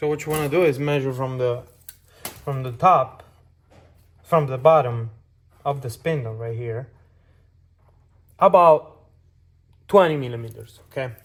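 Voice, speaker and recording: A man with a non-native accent, medium pitch with ordinary variation, a somewhat breathy voice, moderate pace, long and frequent pauses, and big swings in loudness. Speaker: car enthusiast. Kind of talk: casual talk to camera. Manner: hesitant, many fillers.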